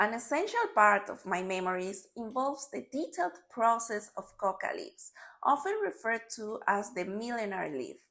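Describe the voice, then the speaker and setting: A woman with a Spanish accent speaks at a moderate pace with hardly any pauses, a fairly high pitch, and a bright, sharp tone. Her intonation is lively, and her loudness swings widely. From Bolivia, Santa Cruz. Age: 30s. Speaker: storyteller. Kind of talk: scripted narration.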